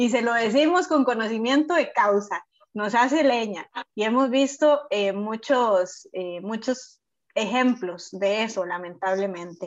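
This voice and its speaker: The speech moves at a fairly slow pace in a Costa Rican accent. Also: woman, fairly high pitch for a woman. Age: 30s. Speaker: podcast host. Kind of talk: casual chat.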